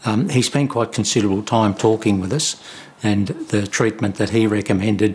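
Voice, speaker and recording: A man with an Australian accent, fairly low pitch and moderate pace, over noticeable background noise. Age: 70s. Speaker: prostate cancer survivor. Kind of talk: testimony. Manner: halting.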